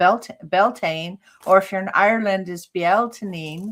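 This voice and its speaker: A woman with an ordinary speaking voice and a medium pitch talks at a fairly slow pace. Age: 60s. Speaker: psychic medium and healer. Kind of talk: casual interview chat.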